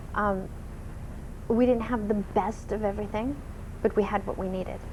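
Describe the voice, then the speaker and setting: The woman's medium-pitched voice stays monotone, with flat intonation, at a moderate pace. Audible room echo surrounds her. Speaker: talk show guest. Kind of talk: interview. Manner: loud.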